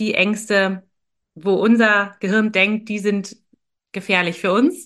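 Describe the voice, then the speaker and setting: Over a quiet background, a woman with a normal speaking voice talks at a fairly slow pace in a fairly high pitch. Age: 30s. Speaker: neuro-coach, former engineer. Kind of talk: interview conversation. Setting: video call.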